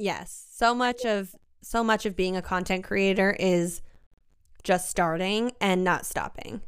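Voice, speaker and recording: An ordinary speaking voice with an American accent moves at a fairly slow pace with fairly even intonation. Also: woman, medium pitch for a woman. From US suburbs. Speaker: content creator. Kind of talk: casual chat. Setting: video call.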